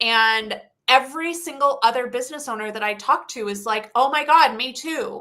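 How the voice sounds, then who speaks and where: A woman with a high-pitched, bright, sharp voice projects it at a moderate pace, with ordinary pitch variation and big swings in loudness. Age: 40s. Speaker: success coach. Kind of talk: interview conversation.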